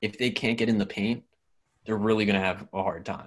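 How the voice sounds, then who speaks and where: This man has an ordinary speaking voice, fairly low in pitch, with an American accent. His intonation is fairly even. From Pennsylvania, Philadelphia area. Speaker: sports podcast co-host. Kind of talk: casual chat.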